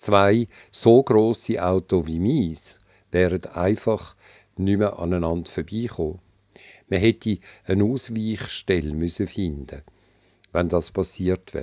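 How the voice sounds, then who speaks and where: Speaking at a very slow pace with long, frequent pauses, a man with a Swiss accent has a very deep, low pitch and a dark, mellow tone, on a very clean recording with a silent background and a dry, close sound with no echo. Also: ordinary pitch variation. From Switzerland. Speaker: author. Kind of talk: reading aloud.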